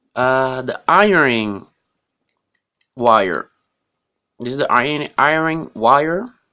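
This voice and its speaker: A man with a non-native accent speaks at a very slow pace with long, frequent pauses. His medium-pitched voice has a bright, sharp tone and lively intonation. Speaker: tech reviewer. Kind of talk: unboxing tutorial. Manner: halting.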